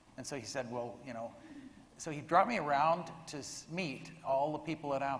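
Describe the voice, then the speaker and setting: A man with a somewhat breathy, medium-pitched voice speaks at a moderate pace amid audible room echo. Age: 60s. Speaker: software engineer and early computer team member. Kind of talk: panel discussion. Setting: stage with audience.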